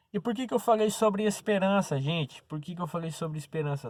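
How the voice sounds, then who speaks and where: On a very clean recording with a silent background, the speaker uses lively intonation. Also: man. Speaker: preacher. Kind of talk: sermon.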